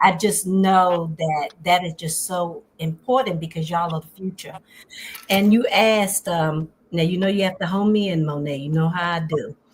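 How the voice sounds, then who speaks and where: Here is a woman with an ordinary speaking voice. Her pitch is fairly low, and she moves at a moderate pace. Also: fairly even intonation. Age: 60s. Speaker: wellness coach. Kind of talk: interview.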